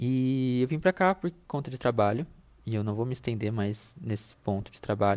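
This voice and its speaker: This man's voice is medium-pitched and his intonation is lively. He talks at a moderate tempo. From Brazil, interior of São Paulo state (Itu). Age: 20s. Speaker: podcast host, content designer. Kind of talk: casual solo monologue. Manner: hesitant, many fillers.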